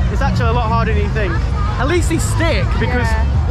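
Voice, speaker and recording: Music in the background, with a dry sound and no echo. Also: man. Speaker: vlogger. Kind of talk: casual vlog chat. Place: market. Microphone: phone near.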